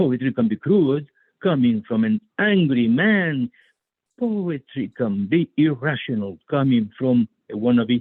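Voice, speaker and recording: A man speaks fairly slowly at a medium pitch, his loudness very even while his pitch swings very widely. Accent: Spanish. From Spain. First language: Spanish. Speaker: poet. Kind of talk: poetry reading.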